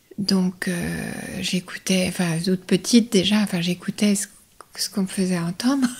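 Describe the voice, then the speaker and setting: Someone whispers at a moderate pace. The voice is somewhat breathy. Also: woman. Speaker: voice-over artist. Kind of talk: interview. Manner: playful; hesitant.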